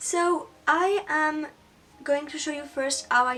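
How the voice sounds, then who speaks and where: A woman with a French accent at a very slow pace, noticeable background noise behind her. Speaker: beauty YouTuber. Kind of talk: tutorial. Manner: halting.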